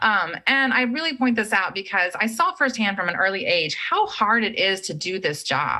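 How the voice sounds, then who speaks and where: Over noticeable background noise, a woman with a fairly high voice talks with hardly any pauses and very wide pitch swings. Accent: American. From Texas, Central Texas. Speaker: education executive. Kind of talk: lecture. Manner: fast.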